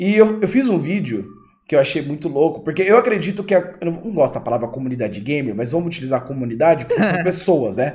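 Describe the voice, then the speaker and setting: This man's pitch is fairly high, with very wide swings and vocal fry. He talks at a fairly quick pace. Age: 20s. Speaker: gaming YouTuber and podcast host. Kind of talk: casual chat. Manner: animated.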